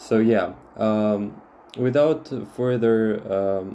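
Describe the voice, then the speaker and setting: Fairly low in pitch, a man speaks with a Russian accent and ordinary pitch variation. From Moldova. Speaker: tarot reader. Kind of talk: tarot reading monologue. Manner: halting with many fillers.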